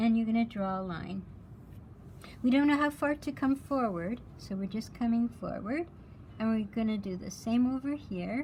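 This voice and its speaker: A woman talks in a somewhat breathy voice, keeping a moderate pace. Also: fairly high pitch for a woman, ordinary pitch variation. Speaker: art teacher. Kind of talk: lecture.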